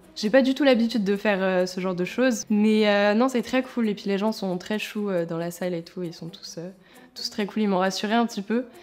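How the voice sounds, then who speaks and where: A woman talks at a fairly quick pace. Her medium-pitched voice has ordinary pitch variation. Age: 20s. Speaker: singer-songwriter contestant. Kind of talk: interview confession.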